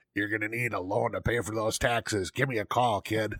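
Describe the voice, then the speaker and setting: A man's put-on character voice, gravelly and gruff, medium in pitch and monotone, at a fairly quick pace in a dry, close sound with no echo. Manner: curt, gruff.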